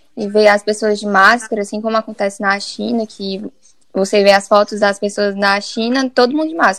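Using an unremarkable speaking voice, a woman with fairly even intonation and medium pitch talks at a moderate pace. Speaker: architecture student. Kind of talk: casual chat.

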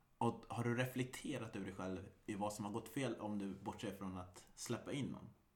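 Speaking at a moderate pace, a man has a fairly low pitch and ordinary pitch variation. His voice sounds somewhat breathy. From Sweden, Västergötland (Mariestad area). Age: 30s. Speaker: podcast host. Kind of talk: casual chat.

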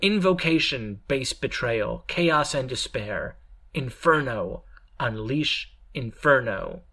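A man puts on a character voice with a fairly high pitch at a fairly slow pace. The recording is very clean, with a silent background. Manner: spooky, menacing, intoning.

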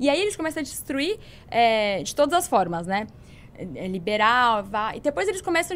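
The recording is very clean with a silent background. A woman does the talking. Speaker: political commentator. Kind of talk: casual chat.

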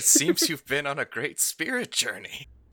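A man puts on a character voice pitched high. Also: moderate pace. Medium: actual play. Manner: grandiose, warm, theatrical.

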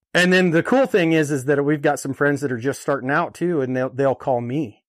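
In a very clean recording with a silent background, a man with an American accent uses a normal speaking voice at fairly high pitch with ordinary pitch variation. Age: 30s. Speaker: rancher. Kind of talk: interview.

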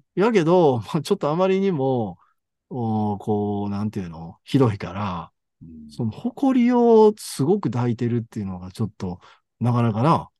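Against a quiet background, a man with a Kansai accent speaks at a moderate pace and medium pitch, his dark, mellow tone making very wide pitch swings in a dry, close sound with no echo. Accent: Kansai Japanese. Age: 50s. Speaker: podcast co-host discussing translated fiction. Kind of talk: casual chat.

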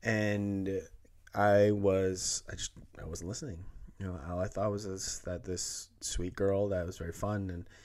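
A man talks at a fairly slow pace in a very deep, low voice. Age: 20s. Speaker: podcast host. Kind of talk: casual chat. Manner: halting.

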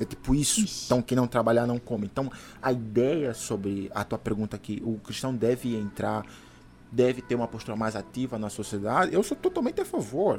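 A man speaks at a fairly quick pace. His voice sits at a medium pitch with ordinary variation. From Angola. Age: 30s. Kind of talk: casual interview with religious teaching. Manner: hesitant with fillers.

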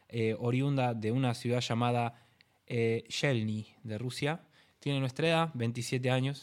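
The speaker is a man with an unremarkable speaking voice and fairly even intonation. The recording is very clean, with a silent background. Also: medium pitch for a man, fairly slow pace. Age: 20s. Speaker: podcast co-host and DJ. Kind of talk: casual chat. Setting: home recording.

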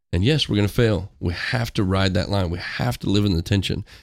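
A man with an American accent speaks at a fairly quick pace, his pitch very deep and low. The recording is very clean, with a silent background. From rural Missouri. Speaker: school district worker. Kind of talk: casual chat.

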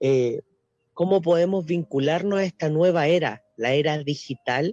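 A man has an unremarkable speaking voice, with ordinary pitch variation at a fairly slow pace. The sound is dry and close, with no echo. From Chile. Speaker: teacher. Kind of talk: radio panel discussion.

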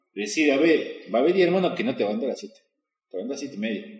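This man's voice sits high in pitch. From Argentina, Salta. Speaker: podcast host. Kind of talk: interview conversation. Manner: casual, filler-heavy.

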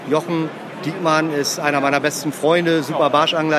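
A man's voice sits fairly high as he speaks at a moderate speed, with the room's echo audible and noticeable noise behind him. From Emsland, northwest Germany. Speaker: fishing lure company owner. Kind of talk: trade fair interview. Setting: trade fair.

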